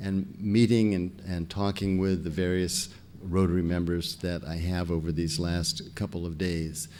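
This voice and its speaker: A man with an American accent, at a fairly slow pace, dark and mellow in tone, with audible echo from the room. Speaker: scientist, foundation president. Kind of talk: lecture. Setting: stage with audience. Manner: soft-spoken; halting.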